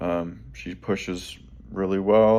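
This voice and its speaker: Lively intonation marks a man whose pitch is very deep and low. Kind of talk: casual talk to camera.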